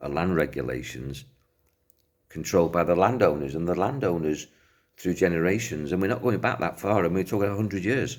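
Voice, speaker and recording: With an English accent, lively intonation and vocal fry, the speaker goes at a fairly quick pace. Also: man, very deep, low pitch for a man. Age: 60s. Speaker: self-help speaker. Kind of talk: talk to camera.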